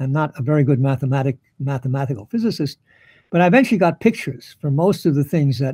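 Against a quiet background, a man in a New York accent talks at a very fast pace, fairly high in pitch, with a dark, mellow, somewhat breathy tone. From New York City. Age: 80s+. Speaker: physicist, Nobel laureate. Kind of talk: interview answer. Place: home room. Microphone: headset.

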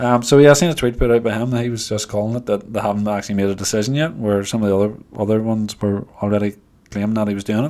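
Very fast speech from a man in a Belfast accent, fairly low in pitch with a dark, mellow tone, on a very clean recording with a silent background. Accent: Belfast Northern Irish. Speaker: cycling podcast host, bike shop. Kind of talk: casual chat.

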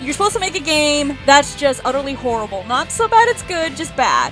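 Over clear background music, a woman speaks at a very fast pace and high pitch with very wide pitch swings, the sound dry with no echo. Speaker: indie game developer and hobby voice actor. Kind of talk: casual let's play commentary. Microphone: headset.

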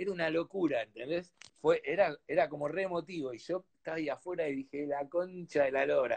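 A man talks with a Rioplatense accent. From Argentina. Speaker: DJ and musician; DJ. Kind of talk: casual chat. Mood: animated, enthusiastic storytelling. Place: home room. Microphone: video call.

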